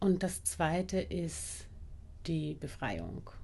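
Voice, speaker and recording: The woman talks at a medium pitch, with vocal fry throughout. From Austria, Vienna. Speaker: anti-racism trainer and bodyworker. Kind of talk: casual interview conversation.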